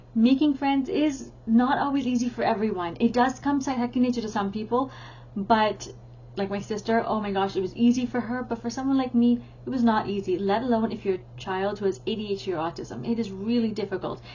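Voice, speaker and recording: A woman with an ordinary speaking voice, fairly high pitch and a fairly quick pace. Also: ordinary pitch variation. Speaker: teacher and parenting educator. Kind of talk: tutorial.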